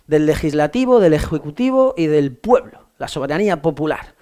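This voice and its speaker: A man speaks with lively intonation. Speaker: law exam tutor. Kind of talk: lecture. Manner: fast; casual, halting with fillers.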